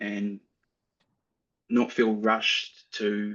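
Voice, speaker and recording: The speaker is a man. He has a New Zealand accent. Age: 20s. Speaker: AI consultant. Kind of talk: interview. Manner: halting.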